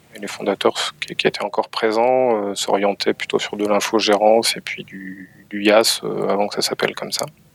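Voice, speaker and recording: A man with a fairly low pitch, flat and monotone, hardly pausing, with big swings in loudness over noticeable background noise. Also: moderate pace, dry, close sound with no echo. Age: 30s. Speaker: cybersecurity company head. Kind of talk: interview. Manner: halting.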